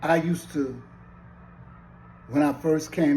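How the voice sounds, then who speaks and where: A man's fairly high voice with vocal fry, a dark, mellow tone, an American accent and a fairly slow pace. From US South. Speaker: commentator. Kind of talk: social commentary monologue. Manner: impassioned.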